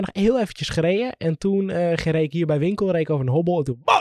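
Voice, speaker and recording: An animated man speaks very fast at a high pitch, his pitch varying in an ordinary way, and the sound is dry and close with no echo. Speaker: podcast co-host. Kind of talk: casual chat.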